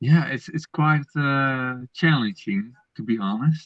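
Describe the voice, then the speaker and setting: The speaker is a man with a non-native accent. He talks very slowly. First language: not English. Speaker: Lego collector guest. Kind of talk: casual chat. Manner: halting.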